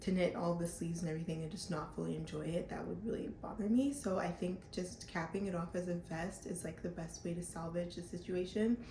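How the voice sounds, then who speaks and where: Amid noticeable background noise and audible room echo, a woman with a fairly low pitch talks at a fairly quick pace with ordinary pitch variation. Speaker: knitting podcaster. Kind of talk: casual vlog chat. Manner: casual, filler-heavy.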